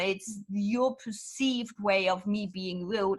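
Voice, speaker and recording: A woman speaks with a German accent. Her pitch is fairly high, with ordinary pitch variation. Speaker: business consultant. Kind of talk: interview. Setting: podcast.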